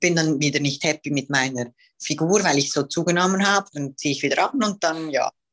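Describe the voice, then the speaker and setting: The woman's voice sits very deep and low. Her pitch variation is ordinary. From Switzerland. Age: 20s. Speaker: professional bodybuilding athlete. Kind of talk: casual interview.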